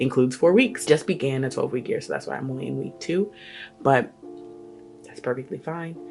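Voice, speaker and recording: Background music plays behind this woman's voice. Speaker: lifestyle vlogger. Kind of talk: casual talk to camera.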